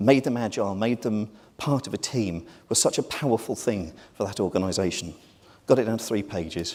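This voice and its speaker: On a very clean recording with a silent background, a man with a British accent and a fairly low pitch speaks at a fairly quick pace with ordinary pitch variation. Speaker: marketing executive, conference speaker. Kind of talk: conference presentation. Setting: stage with audience. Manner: hurried, quick.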